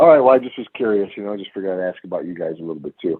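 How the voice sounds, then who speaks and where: With an American accent, a man of fairly low pitch speaks at a very fast pace. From Chicago, US Midwest. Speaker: metal musician. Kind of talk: casual interview chat.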